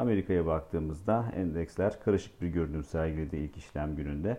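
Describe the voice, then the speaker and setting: Very deep, low male voice with ordinary pitch variation. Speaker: market research analyst. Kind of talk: market briefing podcast. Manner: frequent filler hesitations.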